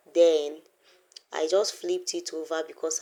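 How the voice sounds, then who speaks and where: On a very clean recording with a silent background, the speaker goes at a fairly slow pace. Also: woman. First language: not English. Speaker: craft tutorial creator. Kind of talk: tutorial.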